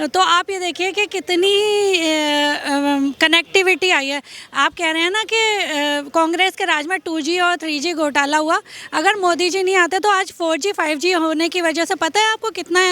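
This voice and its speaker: Raising and projecting her voice, a woman speaks at an extremely high pitch in a dry, close recording with no echo. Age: 40s. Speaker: interviewee at street interview. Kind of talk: political vox-pop interview. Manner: animated.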